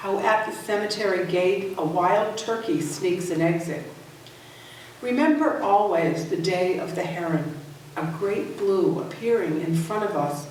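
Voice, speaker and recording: A woman's medium-pitched voice with lively intonation at a fairly slow pace, against noticeable background noise. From Worcester, Massachusetts. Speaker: poet. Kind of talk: poetry reading.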